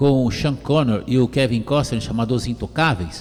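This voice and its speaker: Noticeable background noise runs under the speech, which moves at a moderate pace. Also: man. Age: 60s. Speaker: radio talk show host. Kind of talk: radio talk show.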